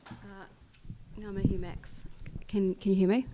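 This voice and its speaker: A woman with a New Zealand accent.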